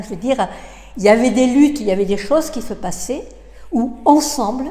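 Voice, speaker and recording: A woman is speaking with ordinary pitch variation. Noticeable background noise runs underneath. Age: 70s. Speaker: interviewee sharing personal views. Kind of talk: interview. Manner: halting, with many hesitations and repetitions.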